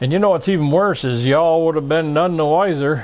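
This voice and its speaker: A man with an ordinary speaking voice and lively intonation. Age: 60s. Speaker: hobbyist YouTuber learning CAD. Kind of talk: casual tutorial vlog. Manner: casual, conversational with fillers.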